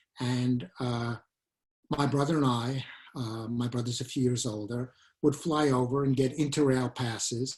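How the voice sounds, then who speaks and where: Speaking in a strong Brooklyn accent, a man keeps a medium, monotone pitch at a moderate pace, his voice somewhat breathy. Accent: thick Brooklyn. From Brooklyn, New York. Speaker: Shakespeare professor and author. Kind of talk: interview. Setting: video call.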